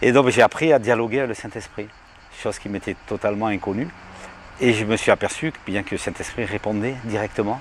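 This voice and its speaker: Big swings in loudness mark this man's medium-pitched voice. He talks at a fairly quick pace with ordinary pitch variation. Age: 60s. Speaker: evangelist, healing minister. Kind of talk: testimony. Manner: halting, with many fillers.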